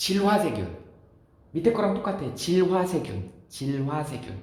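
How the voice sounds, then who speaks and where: A man's high-pitched voice at a very slow pace with very wide pitch swings, amid noticeable background noise and audible room echo. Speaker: science teacher. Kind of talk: lecture.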